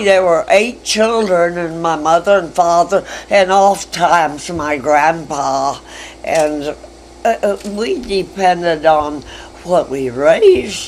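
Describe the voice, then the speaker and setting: A woman with an American accent speaks very slowly in a fairly low pitch with ordinary pitch variation, over noticeable background noise. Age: 80s+. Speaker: retired schoolteacher. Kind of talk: interview answer.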